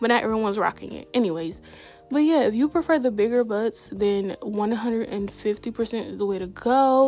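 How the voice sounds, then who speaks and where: A woman talks at a fairly quick pace with ordinary pitch variation, music playing in the background. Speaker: gaming YouTuber. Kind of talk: casual tutorial vlog. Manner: lower, less excitable than usual.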